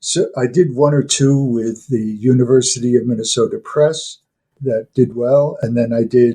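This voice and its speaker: A man with a medium pitch and a dark, mellow tone speaks at a moderate pace, his voice somewhat breathy and his intonation fairly even. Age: 80s+. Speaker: retired professor and folklore expert. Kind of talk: interview. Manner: halting, with many fillers.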